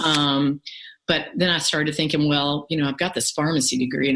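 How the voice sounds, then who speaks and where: A woman with a very deep, low pitch speaks at a moderate pace against a quiet background. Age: 50s. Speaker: pharmacist and life coach. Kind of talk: interview. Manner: halting.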